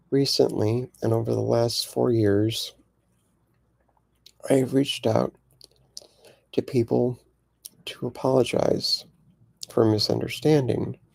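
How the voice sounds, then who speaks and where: A man speaks softly at a fairly slow pace. His speech has long, frequent pauses. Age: 50s. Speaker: queer elder vlogger. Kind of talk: personal testimony. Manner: soft-spoken; gentle.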